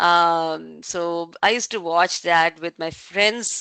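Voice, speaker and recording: In a Tamil Indian accent, the voice has a bright, sharp tone and fairly even intonation, recorded dry and close with no echo against a quiet background. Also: woman. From southern India, Tamil Nadu (Pollachi). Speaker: tech industry leader. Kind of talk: online talk session.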